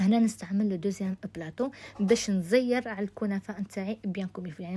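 A woman's dark, mellow, somewhat breathy voice at medium pitch, fairly quick, with ordinary pitch variation. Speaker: cooking youtuber. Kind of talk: cooking tutorial. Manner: casual.

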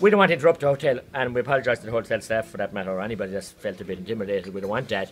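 A man talks while music plays in the background. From Ireland. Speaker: politician. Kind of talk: speech to a protest crowd. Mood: earnest, indignant. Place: hall. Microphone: phone near.

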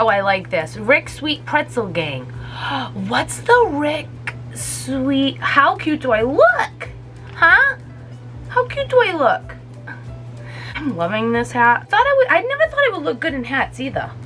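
Faint music plays behind a woman whose upbeat, excited tone comes at a fairly slow pace, broken by long, frequent pauses. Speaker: YouTuber. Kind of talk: casual talk to camera. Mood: excited, delighted. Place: home room. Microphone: phone near.

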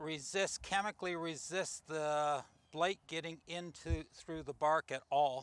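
A man speaks slowly at a fairly high pitch, his tone clear and smooth yet bright and sharp.

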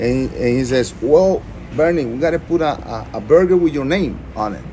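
Speech at a moderate pace with a Spanish accent, over light background noise. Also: man. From Costa Rica. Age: 50s. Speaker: restaurant owner. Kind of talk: interview. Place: cafe. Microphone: phone near.

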